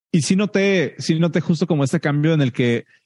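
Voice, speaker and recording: In a dry, close recording with no echo, a man with a Mexican accent speaks at a moderate pace in a dark, mellow tone with ordinary pitch variation. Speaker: software engineer and podcast host. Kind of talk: group Q&A session.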